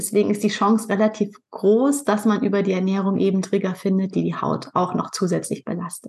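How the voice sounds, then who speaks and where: This woman talks at a fairly quick pace with vocal fry, a medium pitch and fairly even intonation. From northern Germany, Pinneberg near Hamburg. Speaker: nutrition and skin health coach, podcaster. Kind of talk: interview.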